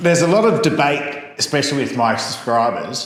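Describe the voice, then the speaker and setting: A man speaks over noticeable background noise. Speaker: vlogger. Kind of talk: casual talk to camera.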